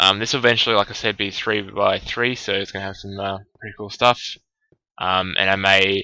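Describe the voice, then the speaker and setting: A man mumbles at a fairly quick pace in a fairly low, bright, sharp voice. His intonation stays flat and monotone while his loudness swings widely. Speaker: gaming let's play creator. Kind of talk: gameplay commentary. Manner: halting, many fillers; mumbling.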